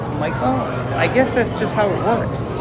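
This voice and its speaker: With lively intonation, a man speaks amid noticeable background noise and audible room echo. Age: 50s. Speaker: live-stream vlogger and DJ. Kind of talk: live stream chat. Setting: outdoors in theme park. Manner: announcer-style DJ voice at times; loud.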